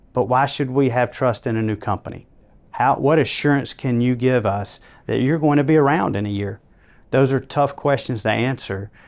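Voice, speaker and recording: In a very clean recording with a silent background, a man with a Georgia accent speaks at a moderate pace, his medium pitch showing ordinary variation. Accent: Georgia Southern. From Georgia, US South. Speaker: construction company co-founder. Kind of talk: interview.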